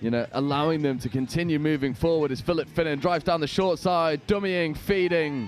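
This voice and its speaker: With a northern English accent, a man speaks at a fairly quick pace and a fairly high pitch, with hardly any pauses and very even loudness, over noticeable background noise. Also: ordinary pitch variation. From northern England. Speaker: sports commentator. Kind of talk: live commentary. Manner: animated.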